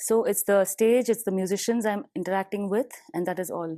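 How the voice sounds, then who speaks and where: At a very fast pace, a woman with a Tamil accent speaks in a dark, mellow tone at a medium pitch with ordinary pitch variation, against a quiet background. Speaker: professional musician, bassist and vocalist. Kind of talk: interview. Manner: animated.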